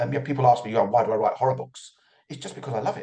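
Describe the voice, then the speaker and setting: A man's somewhat breathy voice of medium pitch, dark and mellow in tone. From London, England. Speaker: author. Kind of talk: interview.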